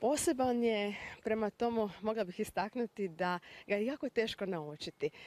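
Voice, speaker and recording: A woman speaks at a moderate pace with lively intonation, the sound dry with no echo. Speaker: language expert guest. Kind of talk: TV interview. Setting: TV studio. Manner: formal. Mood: calm, informative. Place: street. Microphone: handheld.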